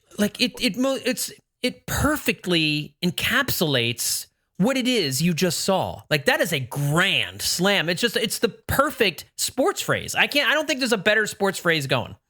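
An enthusiastic, bright, sharp voice is raised and projected, its pitch swinging very widely. The pace is fairly slow and the loudness very even. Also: man, high pitch for a man. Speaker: podcast host, baseball writer. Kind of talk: casual sports recap chat. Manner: enthusiastic, fired up.

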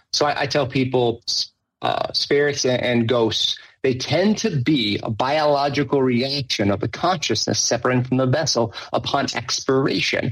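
A man's somewhat breathy voice at medium pitch, with ordinary pitch variation and very even loudness. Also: moderate pace. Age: 40s. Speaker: afterlife researcher. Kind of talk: casual chat. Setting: video call. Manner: halting.

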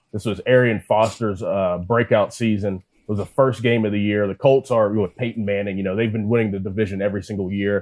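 With an ordinary speaking voice, a man talks at a fairly quick pace and a fairly low pitch. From Pittsburgh, Pennsylvania. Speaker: former pro football player, sports broadcaster. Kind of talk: casual chat.

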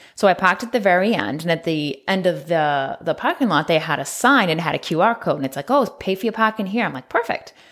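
A woman's fairly low voice at a very fast pace, with lively intonation and hardly any pauses, in a very clean recording over a silent background. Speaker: podcast co-host. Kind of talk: casual chat.

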